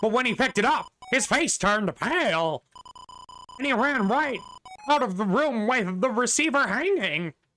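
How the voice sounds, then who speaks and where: The voice is a put-on character voice with a fairly high pitch. Long, frequent pauses break up the speech. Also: moderate pace. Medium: game stream. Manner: theatrical, self-pitying.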